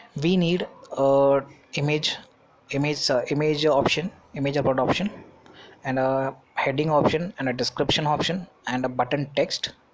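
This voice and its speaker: The speech moves at a moderate pace. Long, frequent pauses run through it. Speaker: web development tutor. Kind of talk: screen-recorded coding tutorial.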